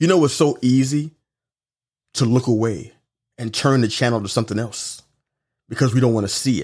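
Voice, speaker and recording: An animated speaker with a New York accent talks at a fairly quick pace, with ordinary pitch variation and long, frequent pauses. The recording is very clean, with a silent background. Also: man, medium pitch for a man. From Brooklyn, New York City. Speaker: podcast host and life coach. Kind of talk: motivational monologue.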